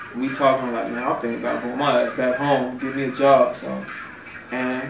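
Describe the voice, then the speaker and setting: The intonation stays fairly even. Both room echo and background noise are noticeable. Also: man. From Chicago. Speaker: rapper. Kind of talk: interview. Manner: not fast-talking; casual, slangy.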